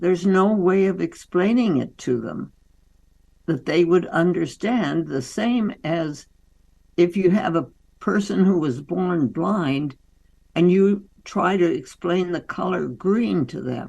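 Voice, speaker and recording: Her pitch fairly low and her tone dark and mellow, a woman speaks at a very slow pace with lively intonation. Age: 80s+. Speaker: doctor and author. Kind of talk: interview.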